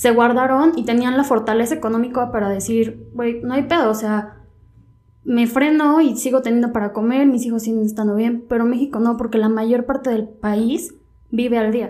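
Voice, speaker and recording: A woman's high-pitched voice, dark and mellow in tone, with fairly even intonation at a moderate pace. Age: 20s. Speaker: law student. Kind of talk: casual chat.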